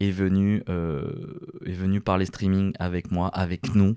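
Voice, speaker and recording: A man talks in a dry, close sound with no echo, on a very clean recording with a silent background. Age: 20s. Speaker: podcast host and radio presenter. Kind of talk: casual solo podcast monologue. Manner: hesitant, many filler words.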